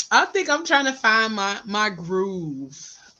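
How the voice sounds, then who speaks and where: A woman speaks with a Southern US accent at a very slow pace. Her pitch swings very widely. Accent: Southern country. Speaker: podcast host. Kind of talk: casual chat.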